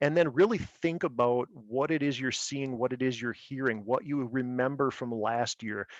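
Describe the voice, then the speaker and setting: A man speaks at a medium pitch with fairly even intonation. The sound is dry and close with no echo, over a quiet background. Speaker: birding presenter. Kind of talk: presentation with Q&A. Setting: video call. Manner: fast.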